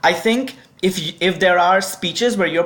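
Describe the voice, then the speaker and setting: Ordinary pitch variation marks this woman's speech. She talks at a moderate pace. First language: not English. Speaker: debate adjudicator. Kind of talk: instructional video.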